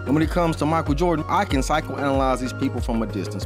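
Over clear music in the background, a man speaks at a very fast pace. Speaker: commentator podcaster. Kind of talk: opinion commentary. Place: home room. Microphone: studio mic.

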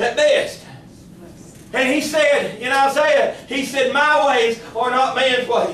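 With noticeable background noise, a man with an extremely high pitch speaks at a very slow pace in a monotone, flat intonation. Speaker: pastor. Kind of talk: sermon, fervent Pentecostal-style preaching with congregational call-and-response. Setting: church service held in a kitchen. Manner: impassioned and rhythmic, building with repeated declarations; exclamatory, punctuated by shouts of Glory and Amen.

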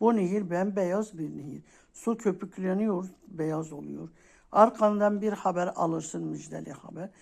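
Her fairly low, warm voice carries vocal fry and ordinary pitch variation. The woman speaks at a fairly slow pace, with big swings in loudness. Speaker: coffee fortune teller YouTuber. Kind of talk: fortune telling monologue. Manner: warm, casual.

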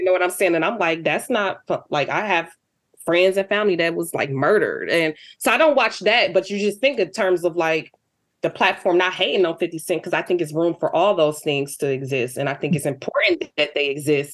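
This woman's fairly low voice sounds animated, with lively intonation and a fairly quick pace. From Detroit, US Midwest. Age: 40s. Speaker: artist. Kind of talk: interview conversation.

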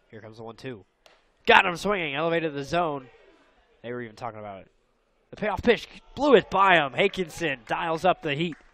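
Shouting in a fairly high, bright, sharp voice, a man speaks at a fairly quick pace with lively intonation and long, frequent pauses, recorded dry with no echo. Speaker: play-by-play announcer. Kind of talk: live baseball play-by-play commentary over highlight clips. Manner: rising-and-falling energy, shouting at big plays. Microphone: headset.

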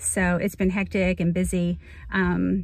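A woman is speaking. The sound is dry, with no echo. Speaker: nurse practitioner and model contest entrant. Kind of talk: casual self-introduction video. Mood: warm, upbeat. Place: car. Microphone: phone near.

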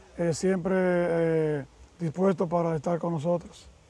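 A high-pitched male voice with a dark, mellow tone and monotone, flat intonation, at a moderate pace, dry with no echo. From Dominican Republic. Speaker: video channel host. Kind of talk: interview. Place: waterside. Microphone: lapel.

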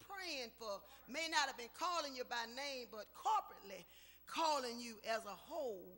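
A woman speaks in a raised, projected voice. Her pitch swings very widely. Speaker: speaker. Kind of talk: sermon-style eulogy remarks. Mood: warm, joyful, praising. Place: church. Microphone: podium.

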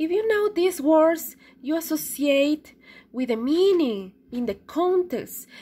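Speaking very slowly with a Spanish accent, a woman uses a high pitch and very wide pitch swings. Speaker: English teacher. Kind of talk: classroom lesson.

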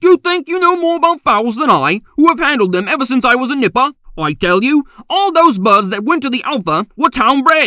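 A man's put-on character voice, raised and projected, extremely high in pitch, at a fairly quick pace. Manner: combative, snappish.

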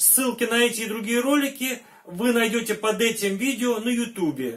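Against a quiet background, a man speaks at a fairly slow pace. His pitch is high, with ordinary variation. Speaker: travel vlogger. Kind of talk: casual vlog chat. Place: home room.

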